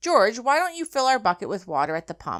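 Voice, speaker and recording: On a very clean recording with a silent background, a female-sounding put-on character voice runs at a fairly quick pace with a fairly high pitch and very wide pitch swings. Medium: read story.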